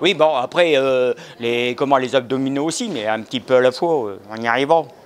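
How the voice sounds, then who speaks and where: Noticeable background noise sits behind this recording. A man speaks at a medium pitch and a moderate pace. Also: ordinary pitch variation. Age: 60s. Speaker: senior fitness class participant. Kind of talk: short interview. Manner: halting, hesitant.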